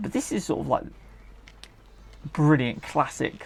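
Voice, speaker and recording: The speaker talks in a relaxed tone with a British accent. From United Kingdom. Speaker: retro gaming YouTuber. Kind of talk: gameplay commentary. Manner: casual, relaxed.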